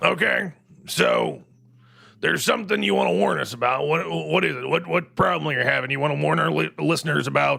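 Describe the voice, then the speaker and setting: Here a man uses a raspy, put-on character voice. He keeps a medium pitch and a fairly quick pace. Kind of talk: talk-radio host comedy. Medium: audio drama. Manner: rambling, digressive, confidently wrong.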